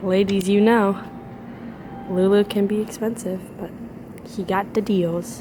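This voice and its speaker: A woman's medium-pitched voice, monotone and flat, at a fairly slow pace with long, frequent pauses and noticeable background noise. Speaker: college student vlogger. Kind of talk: casual vlog.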